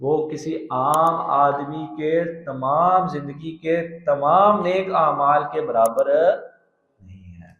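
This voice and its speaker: A man talks in a plain, everyday voice, pitched fairly high. His intonation is lively. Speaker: Islamic scholar giving a tafseer lecture. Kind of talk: religious lecture (Quran tafseer sermon in Urdu).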